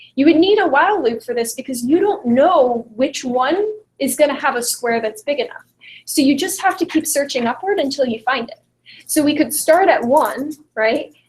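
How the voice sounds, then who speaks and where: A woman's high voice with lively intonation. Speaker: computer science tutor. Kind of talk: online lecture. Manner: fast.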